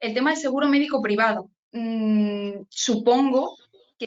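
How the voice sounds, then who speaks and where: With a normal speaking voice, a woman talks at a fairly high pitch. Her intonation stays fairly even. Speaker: immigration lawyer. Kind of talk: online training talk.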